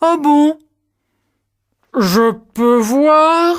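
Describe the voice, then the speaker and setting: A high-pitched put-on character voice. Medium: read story.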